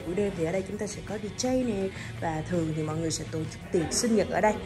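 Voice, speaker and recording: A woman speaks at a fairly quick pace while clear music plays in the background. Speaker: presenter. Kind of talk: product walkthrough commentary. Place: bar. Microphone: phone near.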